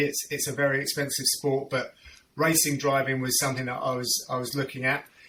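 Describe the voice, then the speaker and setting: With a London accent, a man speaks at a fairly high pitch against noticeable background noise. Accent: southern English, London area. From southern England, North London / Hertfordshire. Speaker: MMA play-by-play commentator. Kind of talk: casual interview chat.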